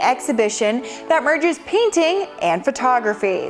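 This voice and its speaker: With music in the background, a woman speaks at a moderate pace using very wide pitch swings. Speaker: TV show host. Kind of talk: daytime TV show host intro.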